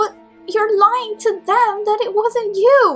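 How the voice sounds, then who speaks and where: A put-on character voice, female-sounding and extremely high-pitched, at a fairly slow pace over faint background music. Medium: audio drama.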